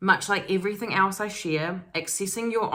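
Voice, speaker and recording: A woman at medium pitch uses fairly even intonation in an unremarkable speaking voice. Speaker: spiritual self-development YouTuber. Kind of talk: casual energy reading monologue.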